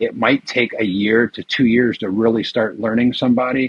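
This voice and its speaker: In an ordinary speaking voice, a man goes at a fairly quick pace with medium pitch and fairly even intonation. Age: 50s. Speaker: retired IT worker and tax lien investor. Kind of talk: interview.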